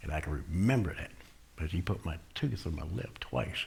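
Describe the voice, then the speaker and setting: A man's very deep, low voice with a Southern US accent. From Florida. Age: 60s. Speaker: recovering addict, ministry leader. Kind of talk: testimony. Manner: casual, conversational.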